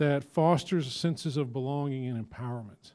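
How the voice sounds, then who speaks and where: A man with a Georgia accent speaks at a moderate pace in a dark, mellow tone on a very clean recording with a silent background. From rural southern Georgia, US South. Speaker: university president. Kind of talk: panel presentation. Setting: luncheon event with audience.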